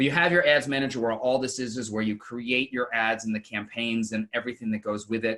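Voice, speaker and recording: A man speaks at a medium pitch and a very fast pace. His intonation stays fairly even, with hardly any pauses. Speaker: marketing panelist. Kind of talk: webinar presentation.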